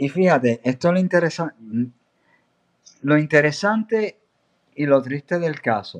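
Recorded with a dry, close sound and no echo, a man with a fairly high voice speaks at a fairly slow pace with lively intonation and long, frequent pauses. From Puerto Rico, Aguada (west). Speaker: journalist. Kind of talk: interview.

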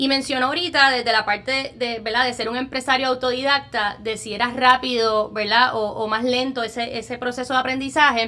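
A woman talks at a fairly quick pace in a high voice, with hardly any pauses. Her intonation is monotone and flat, and background noise is noticeable. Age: young. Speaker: podcast host. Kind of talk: interview.

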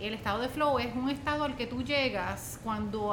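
With audible room echo, a woman speaks at a moderate pace and ordinary pitch variation. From Puerto Rico, Utuado. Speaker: professor and former political candidate. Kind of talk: interview. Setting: in-person studio interview.

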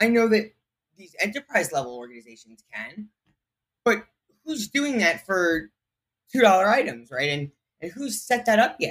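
A man speaks at a high pitch and a moderate pace, with long, frequent pauses. Both his pitch and loudness swing widely. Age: 20s. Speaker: tech entrepreneur. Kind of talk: interview. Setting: remote recording via online tool.

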